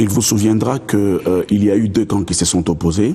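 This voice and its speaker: A man speaks at a moderate pace. His pitch is fairly low and varies in an ordinary way. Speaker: lawyer. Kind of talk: TV interview. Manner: hesitant, repeats words.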